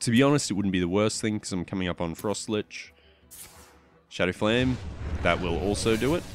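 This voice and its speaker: With music in the background, a man with an Australian accent speaks fairly quickly in a fairly low pitch, with ordinary pitch variation and long, frequent pauses. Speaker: gaming YouTuber. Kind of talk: casual gameplay commentary.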